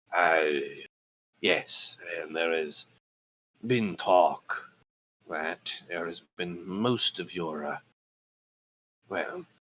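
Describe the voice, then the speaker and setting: A man puts on a raspy character voice, pitched very deep and low. He speaks very slowly, with long, frequent pauses. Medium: actual play. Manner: halting, hesitant.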